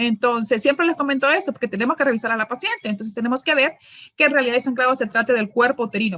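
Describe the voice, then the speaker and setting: Very fast speech from a woman with a high voice. Her tone is bright and sharp, with ordinary pitch variation. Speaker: gynecologist giving medical training. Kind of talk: lecture.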